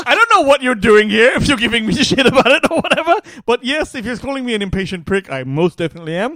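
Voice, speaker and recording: A man with an extremely high pitch speaks at a very fast pace in a raised, projected voice with very wide pitch swings. Noticeable background noise is present. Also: dry, close sound with no echo. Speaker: podcast co-host. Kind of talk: casual chat. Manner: loud.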